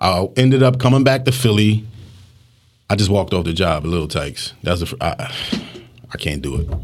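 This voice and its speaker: Speaking at a fairly quick pace with a fairly low pitch, a man swings his pitch very widely and leaves long, frequent pauses. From Philadelphia, US. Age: 40s. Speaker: news photojournalist. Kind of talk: casual interview.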